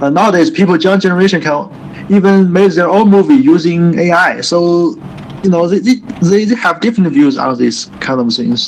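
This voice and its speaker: High-pitched male voice with a Chinese accent, lively intonation and a moderate pace, over noticeable background noise. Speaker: English student. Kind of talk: online English lesson. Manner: halting.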